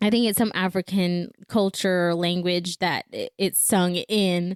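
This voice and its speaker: A woman at medium pitch talks at a fairly slow pace with a slight Belizean accent and monotone, flat intonation. The recording is very clean with a silent background and a dry, close sound with no echo. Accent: little Belizean accent on the podcast. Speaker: podcast host. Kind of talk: faith podcast monologue.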